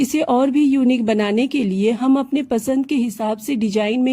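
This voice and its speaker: A dark, mellow tone at a very slow pace with ordinary pitch variation. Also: woman. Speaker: sewing tutorial creator. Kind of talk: tutorial.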